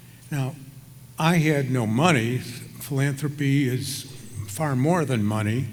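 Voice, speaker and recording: Delivered at a very slow pace with an American accent, the speech shows ordinary pitch variation. Audible room echo and noticeable background noise are present. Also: man, medium pitch for a man. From Chicago, US Midwest. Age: 70s. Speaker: retired surgeon, hall of fame inductee. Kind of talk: acceptance speech. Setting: ballroom stage with audience. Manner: hesitant, many fillers.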